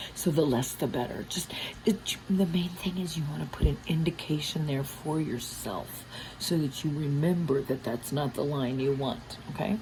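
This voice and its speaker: A woman is whispering at a moderate pace against noticeable background noise. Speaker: art teacher. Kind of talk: ASMR drawing tutorial. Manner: whispered.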